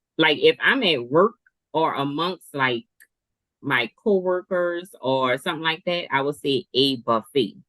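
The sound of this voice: A woman's very deep, low voice with a New Orleans accent, lively intonation and a fairly slow pace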